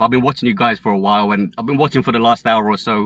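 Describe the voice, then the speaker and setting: This man's medium-pitched voice races along at a very fast pace. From Luton, England. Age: 40s. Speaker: caller. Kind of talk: casual chat. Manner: halting. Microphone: phone with bad Wi-Fi reception.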